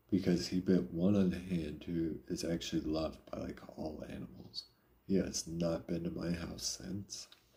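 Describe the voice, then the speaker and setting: Pitched very deep and low, a man's voice is somewhat breathy. His tone is dark and mellow. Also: moderate pace. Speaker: live streamer. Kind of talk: casual chat. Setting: live stream. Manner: casual, conversational.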